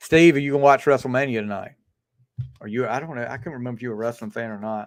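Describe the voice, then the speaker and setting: Talking at a very fast pace with big swings in loudness, a man speaks with a Southern US accent. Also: medium pitch for a man, ordinary pitch variation. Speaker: livestream host. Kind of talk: casual chat.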